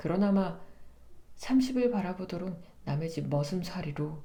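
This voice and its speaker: Very slowly, a woman speaks with vocal fry and lively intonation, her tone dark and mellow as well as warm and soothing. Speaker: voice actor. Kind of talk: literary narration reading of a novel. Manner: soft, warm, soothing.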